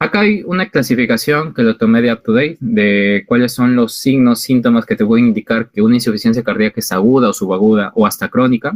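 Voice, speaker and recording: A man speaks at medium pitch and a fairly quick pace, with hardly any pauses and ordinary pitch variation. It is an unremarkable speaking voice. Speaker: physician lecturer. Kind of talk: online lecture to medical students. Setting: video call.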